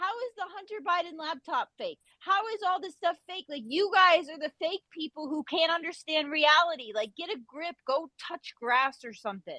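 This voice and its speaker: At a moderate pace and with hardly any pauses, a woman with an extremely high pitch uses a raised, projected voice that is bright and sharp, with lively intonation and big swings in loudness, in a dry, close sound with no echo. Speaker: Twitter Space participant. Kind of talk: heated debate. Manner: animated.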